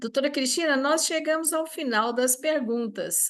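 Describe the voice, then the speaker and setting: A woman talks at a fairly slow pace. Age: 70s. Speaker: session moderator. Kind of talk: moderating Q&A.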